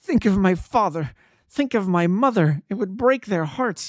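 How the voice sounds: On a very clean recording with a silent background, a man puts on a shaky, high-pitched character voice with lively intonation at a moderate pace.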